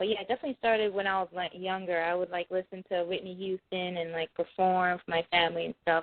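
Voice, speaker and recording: A woman speaks with a New York accent. Her pitch is medium. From New York (Mount Vernon and New York City). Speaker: singer. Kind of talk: interview. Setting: phone call.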